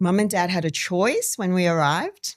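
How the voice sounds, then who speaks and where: In a very clean recording with a silent background, a woman with an Australian accent talks with fairly even intonation. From Australia, Darwin (born Timor-Leste). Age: 50s. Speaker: community member sharing life story. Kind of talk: podcast interview.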